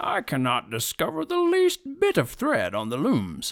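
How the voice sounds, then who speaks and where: Using a put-on character voice, a man talks at a moderate pace in a dry, close sound with no echo. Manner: anxious, flustered.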